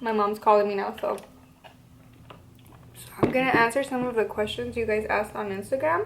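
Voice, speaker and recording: A woman speaking at a moderate pace amid noticeable background noise. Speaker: lifestyle vlogger. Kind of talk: casual Q&A vlog.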